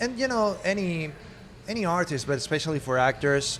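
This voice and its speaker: This is a man talking. He speaks with a Spanish accent. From Spain. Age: 30s. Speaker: actor. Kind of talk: interview.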